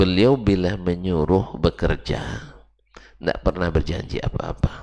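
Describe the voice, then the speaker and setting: A man's very deep, low voice with a dark, mellow tone and vocal fry, at a very slow pace with ordinary pitch variation. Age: 50s. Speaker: Islamic preacher. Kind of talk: religious lecture. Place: church. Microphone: headset.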